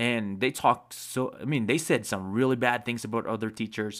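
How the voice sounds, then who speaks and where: A man talks at a moderate pace in a medium pitch with fairly even intonation. The recording is very clean, with a silent background. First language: not English. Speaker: video creator sharing life advice. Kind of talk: personal storytelling monologue. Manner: halting, with fillers and self-corrections.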